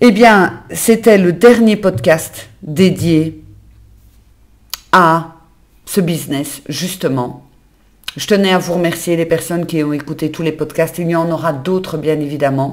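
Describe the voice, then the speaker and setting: The speaker goes very slowly, with ordinary pitch variation and long, frequent pauses. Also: woman, fairly low pitch for a woman. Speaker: business coach and community manager. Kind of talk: solo podcast monologue. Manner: conversational, natural.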